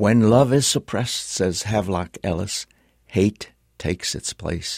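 A man's fairly low voice, an unremarkable speaking voice with ordinary pitch variation at a moderate pace, dry and close with no echo on a very clean recording with a silent background. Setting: radio studio.

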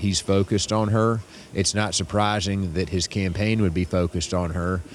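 A man with a normal speaking voice talks at a moderate pace and fairly low pitch, with fairly even intonation and very even loudness. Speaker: political strategist. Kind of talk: interview. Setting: airport terminal.

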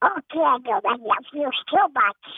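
Here is a put-on character voice with fairly high pitch. It moves at a fairly slow pace. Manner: affectionate, playful.

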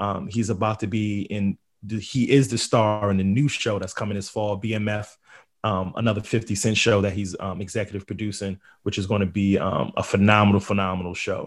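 Speaking at a fairly quick pace in an American accent, a man with a fairly low voice keeps a flat monotone on a very clean recording with a silent background. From Queens, New York. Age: 30s. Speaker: playwright. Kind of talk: interview.

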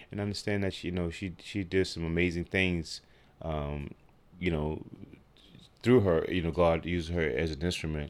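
Speaking with a New Orleans accent, a man with a very deep, low pitch keeps a fairly even intonation and leaves long, frequent pauses. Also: moderate pace. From New Orleans, Louisiana. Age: 60s. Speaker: professional drummer. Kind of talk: interview conversation. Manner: halting, many fillers.

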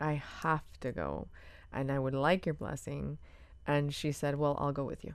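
Against a quiet background, a woman with an American accent speaks at a moderate pace in a very deep, low voice with fairly even intonation. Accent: Miami Cuban American English. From Miami, Cuban American family. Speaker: playwright and author. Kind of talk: interview conversation.

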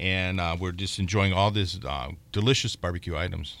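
A man's very deep, low-pitched voice. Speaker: radio host and chef. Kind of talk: radio show. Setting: studio. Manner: laid-back, halting.

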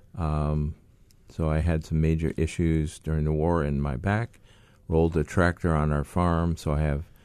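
Fairly slow and fairly even in intonation, a man's very deep, low pitch carries a dark, mellow tone. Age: 70s. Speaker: qigong teacher, retreat center founder, war veteran. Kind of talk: radio interview. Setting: radio studio.

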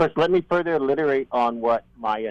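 A man with an American accent talks at a fairly quick pace, with ordinary pitch variation, in a plain, everyday voice. The sound is dry and close, with no echo. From US South. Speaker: police officer. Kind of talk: radio roundtable discussion.

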